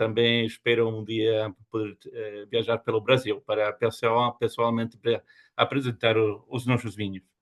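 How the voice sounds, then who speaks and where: Speaking in a European Portuguese accent, a man with a medium pitch talks at a fairly slow pace in a monotone, flat intonation. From Spain and Germany. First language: Spanish or German (speaking Portuguese). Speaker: winery export representative. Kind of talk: wine masterclass presentation. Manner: halting.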